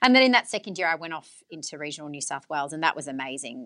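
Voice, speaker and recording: The background is quiet as a woman talks with an Australian accent. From Australia, western Sydney. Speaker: radio journalist and broadcaster. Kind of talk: interview.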